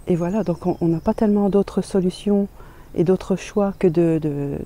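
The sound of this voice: This woman's voice has a dark, mellow tone and sits fairly low in pitch. She speaks at a moderate pace with fairly even intonation.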